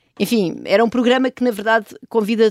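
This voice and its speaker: The recording is very clean, its background silent. A woman is speaking. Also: dry, close sound with no echo. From Portugal, rural Oeste region near Benedita. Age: 40s. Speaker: economist and professor. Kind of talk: interview. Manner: halting, many fillers and repetitions.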